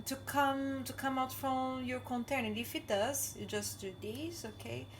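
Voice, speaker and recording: A woman speaks at a moderate speed while noticeable noise sounds in the background. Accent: Brazilian. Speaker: home cook. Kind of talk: casual cooking tutorial to camera.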